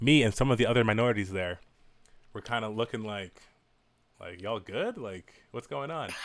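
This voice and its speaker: Talking at a fairly quick pace with an American accent, a man has a plain, everyday voice, medium pitch and ordinary pitch variation. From New York (Westchester). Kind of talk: casual chat.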